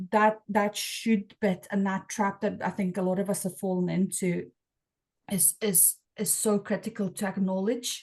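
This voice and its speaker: A somewhat breathy woman at a medium pitch, speaking at a fairly slow pace in a monotone, flat intonation over a quiet background. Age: 40s. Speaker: podcast host. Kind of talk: interview conversation. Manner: halting, many repeated words.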